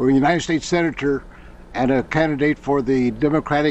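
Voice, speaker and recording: Fairly even intonation and a fairly quick pace come through noticeable background noise. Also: man. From US Midwest, Iowa. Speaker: auditing student. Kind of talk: question to a guest.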